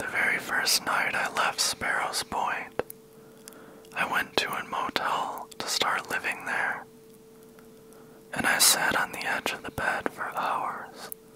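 Whispering at a very slow pace, a man leaves long, frequent pauses in a dry sound with no echo and light background noise. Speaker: ASMR storyteller. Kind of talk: soft-spoken personal storytelling. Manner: close-mic whispered storytelling. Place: home room. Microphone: handheld.

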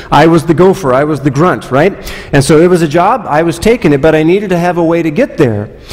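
A man talks with lively intonation. His pace is very fast. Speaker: pastor. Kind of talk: sermon. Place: church.

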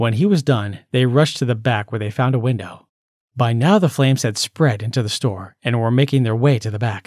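The background stays quiet. A natural reading voice moves with ordinary pitch variation.

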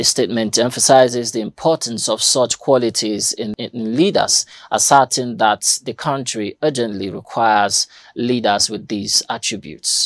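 At a moderate pace and with fairly even intonation, the voice comes through as a dry sound with no echo against a quiet background. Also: man. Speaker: news presenter. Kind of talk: news reading. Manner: formal, measured newsreader delivery. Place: studio.

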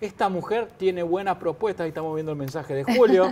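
Here a man speaks with a high pitch. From Argentina. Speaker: TV news host. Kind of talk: TV interview; interview question and reading viewer messages. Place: studio.

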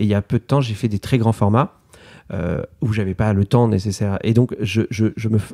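A man talks at a moderate pace in a fairly low, dark, mellow tone with fairly even intonation. The sound is dry and close with no echo, on a very clean recording with a silent background. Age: 30s. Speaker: illustrator and author. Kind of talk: interview. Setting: artist's studio. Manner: hesitant, many fillers.

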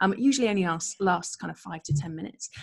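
Somewhat breathy, a woman talks with lively intonation. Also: quiet background. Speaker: presenter. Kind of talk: lecture. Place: home room. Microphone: webcam.

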